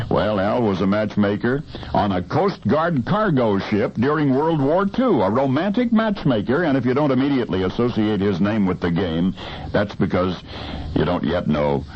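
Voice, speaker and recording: A man's fairly low voice with very wide pitch swings, very even loudness and a moderate pace, over noticeable background noise. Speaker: radio broadcaster, storyteller. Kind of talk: radio storytelling segment. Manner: dramatic timed pauses.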